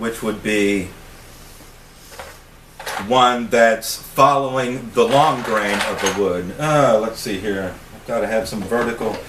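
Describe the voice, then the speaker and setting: Noticeable background noise sits behind a man's voice. His pitch is medium, with ordinary pitch variation. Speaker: wood carver. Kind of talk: casual talk to camera. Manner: stuttering, disfluent.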